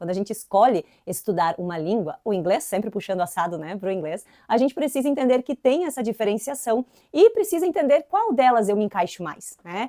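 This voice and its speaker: With very wide pitch swings and a dark, mellow tone, a woman talks at a fairly quick pace in a dry, close sound with no echo. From southern Brazil, inland Santa Catarina. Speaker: English teacher. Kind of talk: educational video tutorial. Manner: casual, conversational.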